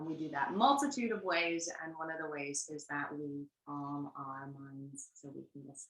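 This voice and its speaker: At a moderate pace with hardly any pauses, a woman speaks in a very deep, low pitch, her intonation fairly even but her loudness swinging widely. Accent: American. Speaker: workshop facilitator, family therapy background. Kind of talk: online workshop.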